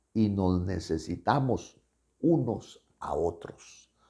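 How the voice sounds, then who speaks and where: This man speaks with lively intonation, a dark, mellow tone and some vocal fry. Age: 70s. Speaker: pastor. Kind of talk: sermon. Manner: halting.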